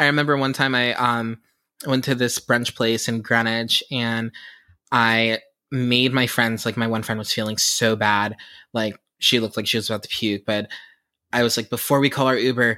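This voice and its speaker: An American accent comes through at a moderate pace on a very clean recording with a silent background. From Pittsburgh, US. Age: 20s. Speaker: podcast host and TikToker. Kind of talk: casual chat. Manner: animated.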